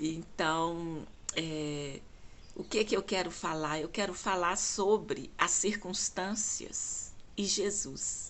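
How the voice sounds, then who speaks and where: Very slow speech from a woman at medium pitch with ordinary pitch variation, with audible room echo. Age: 60s. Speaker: lay preacher. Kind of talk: devotional talk. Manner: halting.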